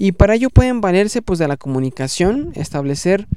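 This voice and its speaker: A man speaking with lively intonation. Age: 30s. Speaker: podcast host, management consultant. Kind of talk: solo educational podcast. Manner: halting, many fillers and repetitions.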